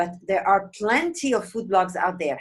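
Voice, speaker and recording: Lively intonation and a moderate pace mark this speaker with a non-native accent. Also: woman. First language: not English. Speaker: interview host, food blogger. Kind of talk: interview.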